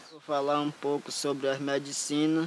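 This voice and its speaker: Noticeable background noise behind a man's fairly high voice at a very slow pace. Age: young. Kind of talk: interview. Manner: halting.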